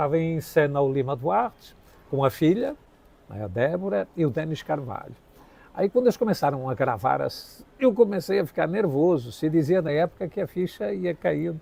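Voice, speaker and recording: This man's voice sits fairly high in pitch and swings very widely. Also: moderate pace. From Portugal. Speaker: actor and acting teacher. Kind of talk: interview storytelling.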